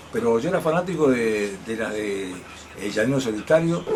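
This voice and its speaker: Lively intonation at a moderate pace, with noticeable background noise and audible room echo. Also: man. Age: 60s. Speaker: interviewee, comics fan. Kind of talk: interview. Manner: halting.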